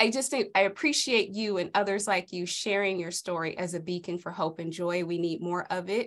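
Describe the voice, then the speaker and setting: Over a very clean recording with a silent background, a woman with an ordinary speaking voice talks at a fairly quick pace with hardly any pauses, medium pitch and ordinary pitch variation. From South Central Los Angeles. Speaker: author and coach. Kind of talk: casual interview.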